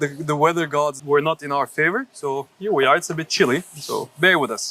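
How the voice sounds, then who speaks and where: A man with a Turkish accent at a fairly quick pace, in a dry, close sound with no echo. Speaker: YouTuber, interviewer. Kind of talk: interview. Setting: outdoors.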